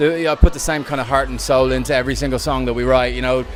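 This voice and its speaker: A man's fairly high voice in an Irish accent at a very fast pace, with noticeable background noise. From Ireland. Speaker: DJ and dance music producer. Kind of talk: interview. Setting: venue interview. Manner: animated.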